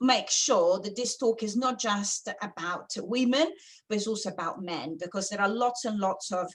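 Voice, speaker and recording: A woman with an Italian accent speaks at a fairly slow pace in a bright, sharp tone. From Italy. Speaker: architect and sustainability consultant. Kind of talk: webinar presentation. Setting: online webinar. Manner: hesitant, with many fillers.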